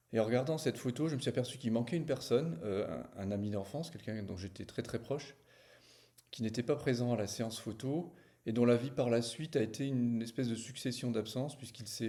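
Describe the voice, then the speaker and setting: Here a man talks at a fairly quick pace, his medium-pitched voice dark and mellow in tone, with ordinary pitch variation. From small village. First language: not French (speaking French). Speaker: novelist. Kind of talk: book presentation to camera. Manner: hesitant, many fillers.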